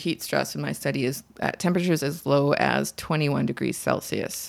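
The speaker has a Canadian accent, captured in a very clean recording with a silent background. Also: woman. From Ontario, Canada (Markham). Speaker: Arctic wildlife researcher. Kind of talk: interview. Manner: hesitant, many fillers.

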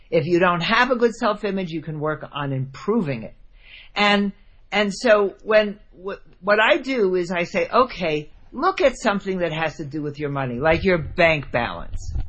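A woman with an American accent and a medium pitch speaks at a moderate pace, her voice making very wide pitch swings. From New Jersey. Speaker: money coach and author. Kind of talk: interview.

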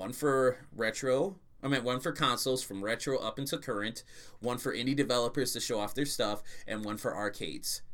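An ordinary speaking voice from a man, ordinary pitch variation, very clean recording with a silent background. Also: medium pitch for a man, fairly quick pace. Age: 30s. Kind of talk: casual chat.

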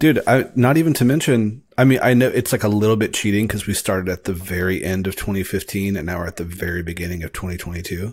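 Speaking at a fairly quick pace, a man with a fairly low pitch and ordinary pitch variation has a plain, everyday voice, captured in a very clean recording with a silent background. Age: 30s. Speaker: filmmaker. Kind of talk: casual chat.

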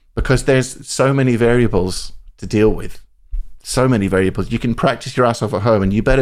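Speaking at a very fast pace, a man talks with a Scottish accent. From central Scotland. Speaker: saxophonist. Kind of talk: interview. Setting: video call. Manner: animated, laughing often.

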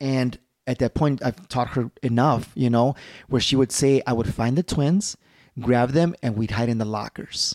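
At a moderate pace and with ordinary pitch variation, an unremarkable speaking voice with an American accent comes through in a dry, close sound with no echo. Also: man, medium pitch for a man. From Chicago, Little Village. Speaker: martial artist. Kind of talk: casual chat.

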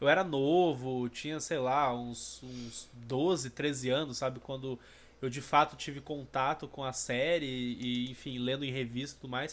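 In a very clean recording with a silent background, a man speaks fairly slowly at a medium pitch with fairly even intonation. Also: big swings in loudness. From Rio de Janeiro and Goiânia, Brazil. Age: 30s. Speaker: anime podcaster. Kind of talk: casual chat.

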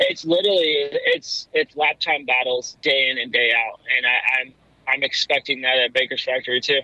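A man with an American accent speaks in an unremarkable speaking voice at medium pitch, keeping a moderate pace and fairly even intonation. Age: 30s. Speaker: professional motocross racer. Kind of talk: casual interview. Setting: phone call from a car.

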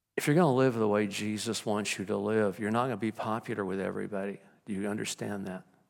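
This man talks very fast at a fairly low pitch in a very clean recording with a silent background. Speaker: pastor. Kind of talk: sermon. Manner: energetic, moves around.

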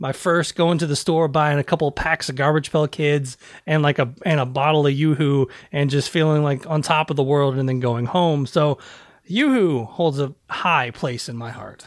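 On a very clean recording with a silent background, a man with an American accent speaks at a moderate pace and a fairly high pitch. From US South. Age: 40s. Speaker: podcaster. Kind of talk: casual chat.

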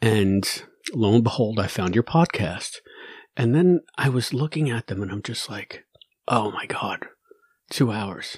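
A somewhat breathy man speaks at a fairly slow pace with lively intonation and long, frequent pauses. The sound is dry and close, with no echo. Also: medium pitch for a man, big swings in loudness, very clean recording, silent background. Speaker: podcast host interviewer. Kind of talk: casual interview chat.

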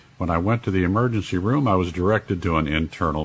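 Speaking at a very fast pace, a man with a very deep, low pitch sounds somewhat breathy and uses lively intonation. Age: 70s. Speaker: radio show host and health author. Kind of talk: interview and health talk.

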